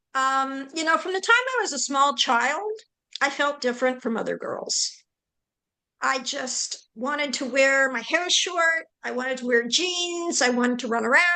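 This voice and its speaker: A woman projects a raised, bright, sharp voice at a high pitch, moving at a moderate pace with ordinary pitch variation. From Canada, Vancouver area. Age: 60s. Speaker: webinar host and panellist. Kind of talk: conversational webinar testimony.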